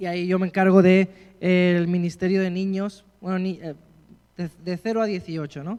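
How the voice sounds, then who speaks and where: A man speaks at a moderate pace with a high pitch. His intonation stays flat and monotone. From Spain. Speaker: pastor. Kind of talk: sermon introduction, casual address to congregation. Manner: hesitant, many fillers and repeats.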